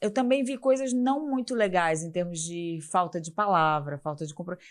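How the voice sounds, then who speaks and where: In a very clean recording with a silent background, a woman speaks at a fairly slow pace. Her medium pitch moves in very wide swings. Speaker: festival executive. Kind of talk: interview.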